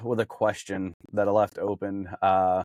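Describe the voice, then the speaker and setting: A man at a moderate pace, on a very clean recording with a silent background and a dry, close sound with no echo. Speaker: podcast host. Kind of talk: casual chat. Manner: stumbling over words.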